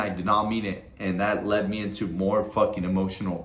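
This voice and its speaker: A man talks at a moderate pace, and audible room echo can be heard around his words. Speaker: trading content creator. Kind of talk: casual vlog advice monologue. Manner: casual, heavy swearing slang.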